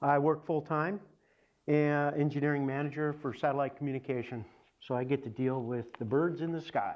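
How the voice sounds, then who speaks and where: Talking at a fairly quick pace, a man has an unremarkable speaking voice, a fairly high pitch and fairly even intonation. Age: 60s. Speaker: engineering manager, cancer survivor. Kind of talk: testimony.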